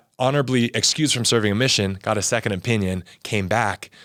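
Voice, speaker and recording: The speech moves at a fairly quick pace in a very clean recording with a silent background. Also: man. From Southern California, Torrance. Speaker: former athlete and religion teacher. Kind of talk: interview testimony. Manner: fast; animated.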